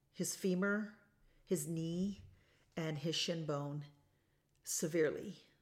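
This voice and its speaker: A woman with a fairly low pitch speaks at a very slow pace, with long, frequent pauses and ordinary pitch variation. Audible room echo surrounds her voice. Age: 40s. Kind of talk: solo motivational talk, live-streamed. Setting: lake house, live stream recording. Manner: animated.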